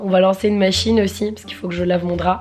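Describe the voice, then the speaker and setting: A woman rattles along at a very fast pace with fairly even intonation, with noticeable background noise behind her. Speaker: lifestyle vlogger. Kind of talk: casual vlog.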